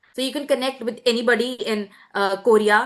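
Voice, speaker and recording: A woman with an Indian accent speaks in a fairly high voice, her intonation fairly even. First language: Hindi. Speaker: student presenter. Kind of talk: webinar presentation.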